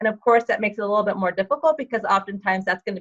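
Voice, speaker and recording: A woman's medium-pitched voice at a very fast pace, with ordinary pitch variation and a dry, close sound with no echo. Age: 60s. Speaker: fitness and health coach. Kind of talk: interview.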